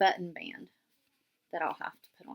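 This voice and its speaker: Here a woman speaks with a West Virginia accent. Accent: southern West Virginia. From southern West Virginia. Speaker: knitting podcaster. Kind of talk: casual show-and-tell podcast. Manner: casual, with frequent fillers.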